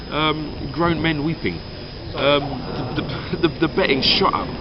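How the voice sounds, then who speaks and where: Noticeable background noise sits behind the speech. A man with a fairly high pitch talks in an English accent. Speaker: Eurovision commentator. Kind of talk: casual chat. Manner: fast.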